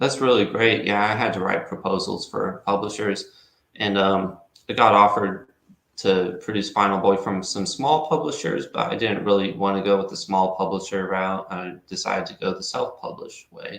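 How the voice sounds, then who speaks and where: In an American accent, a man with a normal speaking voice talks at a moderate pace. His pitch is fairly low, with ordinary pitch variation. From Texas. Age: young. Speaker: comic book writer. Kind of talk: casual chat.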